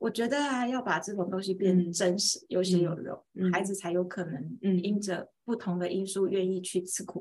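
Somewhat breathy, a woman talks with hardly any pauses. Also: medium pitch for a woman, ordinary pitch variation, moderate pace. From Taiwan, rural Pingtung. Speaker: homeschooling mother and teacher. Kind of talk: interview storytelling.

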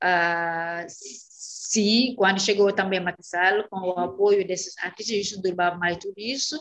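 Speaking at a fairly slow pace, a woman with medium pitch shows ordinary pitch variation. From Senegal, Casamance in the south, raised in Dakar. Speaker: Portuguese teacher. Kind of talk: interview. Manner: halting, with frequent hesitations.

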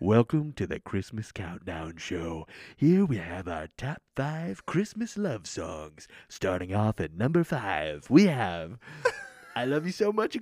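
A put-on character voice sits at a low pitch with very wide pitch swings. The pace is fairly slow. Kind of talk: formal broadcast. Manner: soft, smooth, measured.

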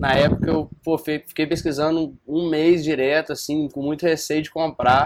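Speaking at a fairly high pitch, a man barely pauses at all. His intonation stays monotone and flat. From Brazil, Viçosa, Minas Gerais. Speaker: student investor. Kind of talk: casual chat.

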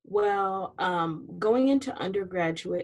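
An unremarkable speaking voice with an American accent moves at a fairly slow pace with ordinary pitch variation. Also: woman. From Southern California. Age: 30s. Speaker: university student and social media personality. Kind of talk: casual interview.

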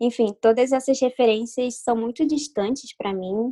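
A woman speaks at a moderate pace with fairly even intonation, her dark, mellow tone caught in a dry, close sound with no echo. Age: 20s. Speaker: illustrator. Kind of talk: interview.

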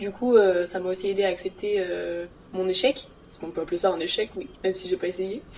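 Over noticeable background noise, a woman at medium pitch talks at a fairly quick pace with fairly even intonation. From France (Reims). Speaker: university student. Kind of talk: casual chat.

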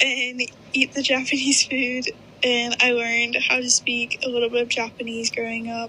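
A Southern US accent at a moderate pace with monotone, flat intonation, over noticeable background noise. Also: woman. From US South, Birmingham, Alabama. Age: young. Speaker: college student. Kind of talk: interview.

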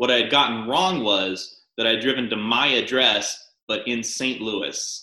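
His voice is a plain, everyday voice, pitched in the middle range. The delivery runs fairly slowly, and the pitch moves up and down in an ordinary way. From US South, rural Arkansas. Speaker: stand-up comedian. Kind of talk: casual chat.

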